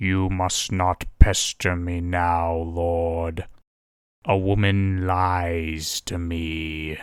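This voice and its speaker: Growling and gravelly, a man does a put-on character voice with a very deep, low pitch, a solemn tone, monotone, flat intonation and a very slow pace, captured in a very clean recording with a silent background. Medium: read story. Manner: growling, solemn.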